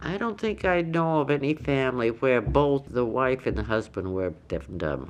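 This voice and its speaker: A woman with an American accent speaks at a moderate pace, her pitch very deep and low. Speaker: longtime island resident recalling deaf community. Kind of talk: oral history interview answer.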